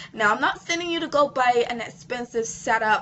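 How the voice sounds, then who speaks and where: There is noticeable background noise as a woman speaks at a high pitch with very wide pitch swings. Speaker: online marketing coach. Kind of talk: tutorial.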